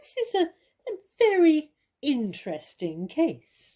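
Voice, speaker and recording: Putting on a squeaky character voice, a woman speaks fairly slowly at a high pitch. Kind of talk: classic theatrical drama. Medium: audio drama. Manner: poised, articulate.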